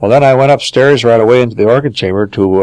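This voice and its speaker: Over a quiet background, the speaker talks at a very fast pace in an Upper Midwest accent with ordinary pitch variation. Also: man. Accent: Upper Midwest American. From Minnesota. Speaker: organ builder. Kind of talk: interview answer.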